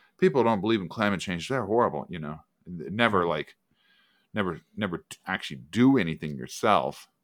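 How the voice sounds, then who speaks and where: Heard on a very clean recording with a silent background, a man with a very deep, low pitch and vocal fry talks at a fairly quick pace with lively intonation. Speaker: podcast co-host. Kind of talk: casual chat.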